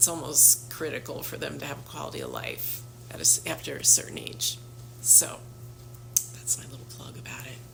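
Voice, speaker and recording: A woman talks at a moderate pace with big swings in loudness. Noticeable background noise runs underneath. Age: 60s. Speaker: health practitioner. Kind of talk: casual talk to camera. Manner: conversational with frequent fillers.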